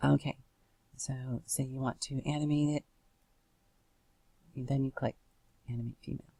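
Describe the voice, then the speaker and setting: A woman speaks with a very deep, low pitch and flat, monotone intonation at a moderate pace, leaving long, frequent pauses. The sound is dry and close, with no echo. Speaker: software tutorial maker. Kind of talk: tutorial. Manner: halting, many fillers.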